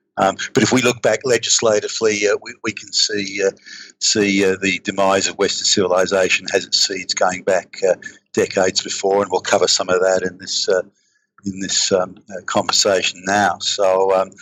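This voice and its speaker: An Australian accent at a moderate pace. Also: man. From east coast of Australia. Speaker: political commentator. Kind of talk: interview conversation. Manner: halting, many repetitions and fillers.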